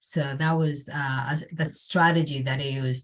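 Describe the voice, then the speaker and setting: With a Spanish accent, a woman talks at a moderate pace in a somewhat breathy voice with fairly even intonation. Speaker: community health researcher. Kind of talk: panel presentation. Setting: video call. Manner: halting, many fillers and repeats.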